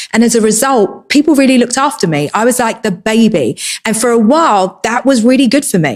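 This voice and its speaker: Speaking in a Cockney accent, a woman uses lively intonation, a fairly high pitch and a fairly quick pace. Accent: Cockney, kept. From England, East London. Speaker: entrepreneur. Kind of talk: personal talk.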